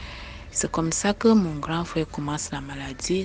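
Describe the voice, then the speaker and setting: A woman speaks at a fairly slow pace, with noticeable background noise behind her. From eastern Cameroon, Maka people. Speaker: listener sharing a personal story. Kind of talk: personal testimony. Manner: halting, hesitant with fillers.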